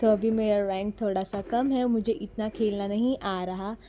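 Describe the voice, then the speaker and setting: A woman's fairly high-pitched voice with a dark, mellow tone and fairly even intonation. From Maharashtra, Mumbai. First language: Marathi (speaking Hindi). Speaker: mobile gaming YouTuber. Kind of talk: gameplay voice-over.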